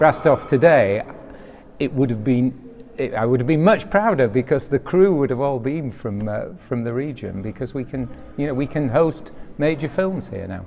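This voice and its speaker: In a Yorkshire accent, a man speaks at a moderate pace with lively intonation over noticeable background noise. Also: medium pitch for a man. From West Yorkshire, Bradford. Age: 60s. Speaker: film producer. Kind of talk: interview. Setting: film festival event.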